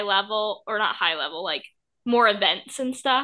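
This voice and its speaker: A woman with an unremarkable speaking voice talks at a moderate pace in a fairly high pitch. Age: 20s. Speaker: podcast co-host. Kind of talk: casual chat.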